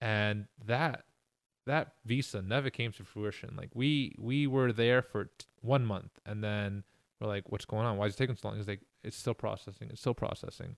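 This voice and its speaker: With an American accent, a man uses a normal speaking voice at medium pitch, a moderate pace and fairly even intonation. The sound is dry and close with no echo, on a very clean recording with a silent background. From New York, Queens. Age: 40s. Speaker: professional soccer player. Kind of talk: casual interview. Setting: podcast recording.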